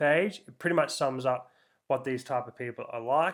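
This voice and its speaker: Fairly quick in pace, a man talks in a very clean recording where the background is silent. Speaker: podcast host, personal trainer and nutritionist. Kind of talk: solo podcast monologue. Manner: animated.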